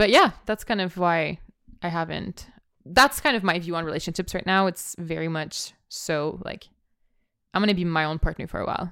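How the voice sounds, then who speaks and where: In a very clean recording with a silent background, a woman with a fairly low pitch speaks at a moderate pace with ordinary pitch variation and a bright, sharp, animated tone. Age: 20s. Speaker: podcast co-host and student. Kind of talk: casual chat. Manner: animated, laughing often.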